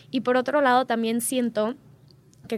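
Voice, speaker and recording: A woman with a high pitch talks at a moderate pace on a very clean recording with a silent background. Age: 20s. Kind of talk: casual interview.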